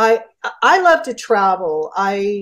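A woman with an American accent speaks against a quiet background. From Southern California, San Bernardino area; Southern California. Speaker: addiction counselor; interview guest. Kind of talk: casual interview. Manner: halting. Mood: warm, chatty. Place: home room. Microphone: video call.

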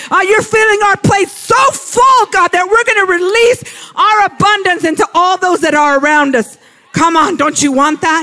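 A man's raised, projected voice at an extremely high pitch, with lively intonation, very even loudness, a moderate pace, hardly any pauses and noticeable background noise. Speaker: preacher. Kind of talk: sermon, personal and conversational teaching.

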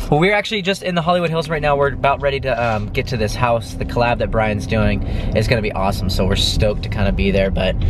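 A man at a very fast pace with hardly any pauses and very wide pitch swings, in a dry sound with no echo over noticeable background noise. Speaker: vlogger. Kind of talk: casual vlog chat. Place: car. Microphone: phone near.

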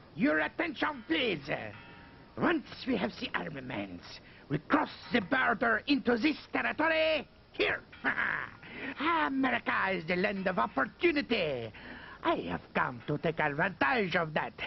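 A man speaks at a moderate pace in a high voice with very wide pitch swings. He pauses long and often, and background noise is clear. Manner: grandiose, cruel.

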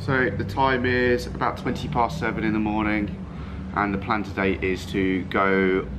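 With music playing behind him, a man speaks in a fairly low voice with ordinary pitch variation. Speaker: travel vlogger. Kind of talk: casual vlog chat. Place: street. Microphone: phone near.

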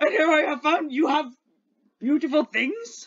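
A put-on character voice, pitched high and delivered at a moderate pace. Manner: menacing, then flattered and friendly.

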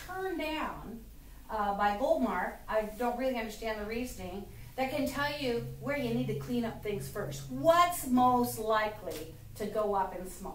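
A woman's pitch swings very widely in a room with audible echo and light background noise. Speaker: speaker. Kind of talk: political speech to audience. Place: stage. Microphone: camera far.

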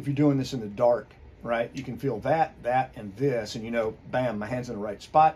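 Here a man speaks with ordinary pitch variation. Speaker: firearms instructor. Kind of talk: tutorial. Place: workshop.

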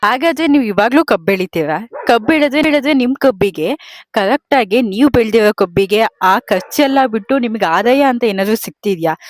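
Heard in a dry, close sound with no echo, a woman with an ordinary speaking voice talks fairly high in pitch with lively intonation. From Mandya district, Karnataka. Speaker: interviewer, farmer's child. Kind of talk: interview.

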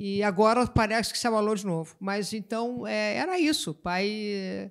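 A woman speaks in a normal speaking voice, pitched fairly high, with ordinary pitch variation. The recording is very clean, with a silent background. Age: 60s. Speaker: writer. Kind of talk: literary panel discussion.

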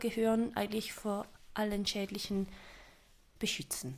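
A woman on a very clean recording against a silent background. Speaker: role-play player. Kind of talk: casual chat.

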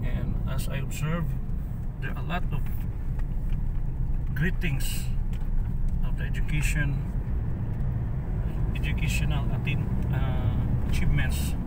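Against loud background noise, a man speaks at a moderate pace with long, frequent pauses, the sound dry with no echo. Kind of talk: casual travel vlog commentary. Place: car. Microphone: phone near.

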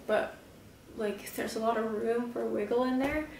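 Speech comes at a moderate pace with monotone, flat intonation. Room echo is audible, along with light background noise. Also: woman. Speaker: vlogger, bullet journaler. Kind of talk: casual talk to camera. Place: home room. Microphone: camera far.

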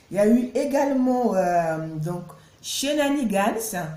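In a room with audible echo, a woman speaks at a very slow pace in a somewhat breathy, dark, mellow tone with lively intonation. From Cameroon. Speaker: YouTuber. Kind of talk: vlog narration. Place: home room. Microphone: phone near.

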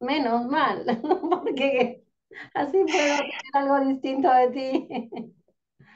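Over light background noise, a woman with a high pitch speaks at a very slow pace, with ordinary pitch variation and very even loudness. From Córdoba, Argentina. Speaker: interviewer, author; interviewer. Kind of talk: interview. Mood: warm, smiling. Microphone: video call.

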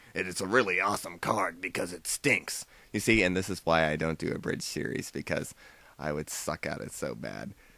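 The recording is very clean with a silent background. A man with a very deep, low pitch and vocal fry uses lively intonation. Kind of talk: casual vlog rant. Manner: goofy.

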